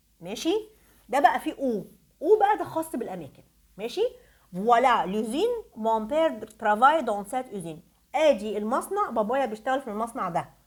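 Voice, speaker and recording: The tone is animated. Pitch swings very widely. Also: woman, high pitch for a woman, moderate pace. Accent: Egyptian. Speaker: French teacher. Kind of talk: tutorial.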